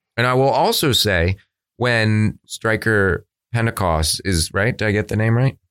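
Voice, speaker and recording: Fairly low in pitch, this man has an unremarkable speaking voice, with ordinary pitch variation, very even loudness and a fairly slow pace. The recording is very clean with a silent background, and the sound is dry and close with no echo. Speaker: podcast co-host. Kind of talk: casual chat. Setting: studio. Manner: joking.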